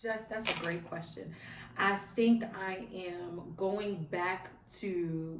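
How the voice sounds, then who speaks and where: Against noticeable background noise and audible room echo, a woman at medium pitch speaks very slowly with fairly even intonation. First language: American Sign Language. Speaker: school social worker and public speaker. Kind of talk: interview.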